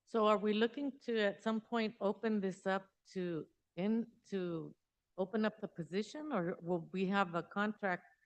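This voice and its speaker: A woman speaks at a medium pitch with ordinary pitch variation. She has a normal speaking voice. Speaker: school board member. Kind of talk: public meeting questioning. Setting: school board meeting.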